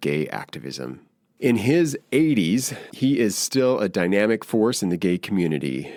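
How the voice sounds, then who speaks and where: A man's fairly low-pitched voice, an ordinary speaking voice, at a moderate pace in a dry, close sound with no echo. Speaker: podcast host, yoga teacher. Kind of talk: podcast intro read. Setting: video call.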